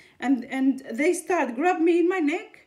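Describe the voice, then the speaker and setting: A woman's voice sits high in pitch, her intonation lively. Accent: non-native. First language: not English. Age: 30s. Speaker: video blogger. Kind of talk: personal testimony monologue. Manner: halting, many restarts and fillers.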